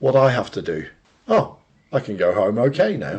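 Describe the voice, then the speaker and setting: A man speaks with a British accent and vocal fry. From Britain. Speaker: podcast co-host. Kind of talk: casual chat.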